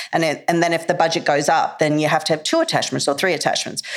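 A woman with an Australian accent speaks in a fairly low voice with fairly even intonation, and noticeable background noise sits behind her. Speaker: actress, filmmaker and film school teacher. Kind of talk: casual interview chat.

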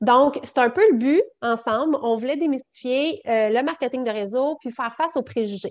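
A woman with a Quebec accent, high pitch, ordinary pitch variation and a moderate pace, against a quiet background. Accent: Québécois French. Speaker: network marketing entrepreneur, mother. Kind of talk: casual interview chat.

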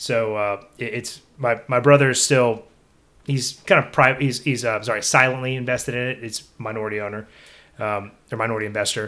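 A man with a Texan accent talks at a fairly quick pace, keeping his medium pitch in fairly even intonation. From Texas (Belleville, German-Czech community). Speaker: pit builder business owner. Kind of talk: casual interview. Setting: on location at a pit building shop.

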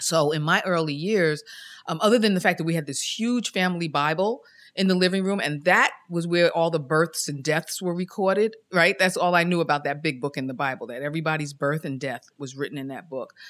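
A woman with a normal speaking voice, fairly low pitch and ordinary pitch variation at a fairly quick pace, in a very clean recording with a silent background. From New York City (Queens). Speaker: churchgoer sharing faith story. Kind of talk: testimony.

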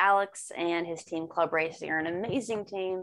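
A woman with a normal speaking voice, fairly low pitch, and ordinary pitch variation, over a quiet background. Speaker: racing driver. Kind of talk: casual interview.

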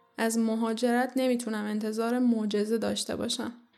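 At a moderate pace, a woman speaks in a fairly high pitch with flat, monotone intonation. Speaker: podcast host. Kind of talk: scripted narration.

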